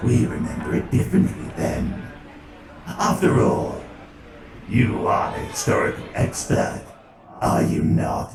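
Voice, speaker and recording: A man puts on a character voice, going at a fairly slow pace with long, frequent pauses and a slight echo. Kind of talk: dramatic reading. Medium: audio drama. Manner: sardonic, superior.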